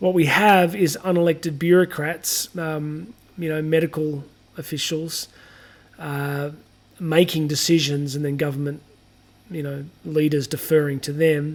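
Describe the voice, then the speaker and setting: A man speaks fairly slowly at a fairly high pitch. His intonation stays fairly even. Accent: Australian. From Australia. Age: 40s. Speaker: podcast host. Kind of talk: solo podcast commentary. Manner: casual, with many fillers and restarts.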